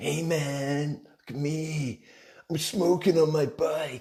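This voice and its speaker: A man puts on a character voice. He talks at a very slow pace with fairly even intonation. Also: fairly high pitch for a man. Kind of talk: casual, slangy. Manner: swaggering.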